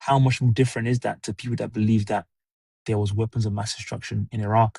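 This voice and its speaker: A man with a British accent talks very fast at medium pitch, in a flat monotone. His voice is somewhat breathy with a dark, mellow tone, and the sound is dry and close with no echo. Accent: British accent (own remark). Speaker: livestreamer, commentary host. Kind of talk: casual livestream monologue, opinion commentary. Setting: solo livestream at home. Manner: conversational, hesitant with fillers.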